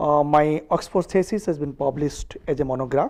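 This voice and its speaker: With an Odisha accent, a man talks in a fairly high pitch and a dark, mellow tone. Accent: Indian (Odia) English. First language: Odia. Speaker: diplomat. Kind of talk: interview. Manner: hesitant, many fillers.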